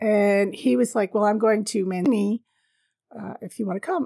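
A normal speaking voice from a woman, fairly high in pitch and at a fairly quick pace, in a very clean, dry, close recording with no echo and a silent background. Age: 50s. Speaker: travel podcaster. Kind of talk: solo storytelling monologue. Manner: casual, frequent laughter.

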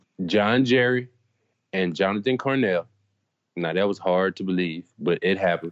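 This man's voice is very deep and low, with ordinary pitch variation, a moderate pace, and long, frequent pauses. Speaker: former college football player, guest co-host. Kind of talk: casual chat.

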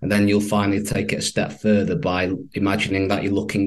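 With a Manchester accent, a man speaks at a fairly low pitch. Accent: northern English, Mancunian. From Manchester, northern England. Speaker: copywriter and stoicism advocate. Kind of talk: interview.

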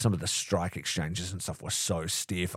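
A man with an Australian accent speaks at a moderate pace with a very deep, low pitch. The recording is very clean with a silent background and a dry, close sound with no echo. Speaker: wrestling podcast host. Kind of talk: casual solo recap. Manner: animated.

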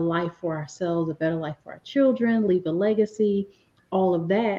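In an American accent, a woman speaks at a medium pitch. She has a normal speaking voice with ordinary pitch variation. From US Northeast, inner city Philadelphia. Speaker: business coach. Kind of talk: interview.

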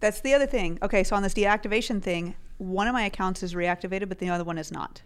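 Speaking with an American accent, a woman has a medium pitch and ordinary pitch variation. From US South (Tennessee). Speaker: Amazon seller and podcast co-host. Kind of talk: casual chat.

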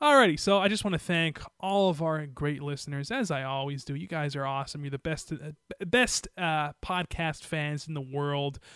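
Against a quiet background, a man with a plain, everyday voice talks at a moderate pace, using a fairly high pitch and ordinary pitch variation. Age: 20s. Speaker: wrestling podcast host, former radio worker. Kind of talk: casual chat.

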